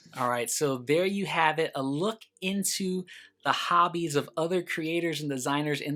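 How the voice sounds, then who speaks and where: Music sits in the background behind a man's voice. His pitch varies in an ordinary way. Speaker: board game channel host. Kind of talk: video monologue to viewers. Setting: home recording room. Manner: loud.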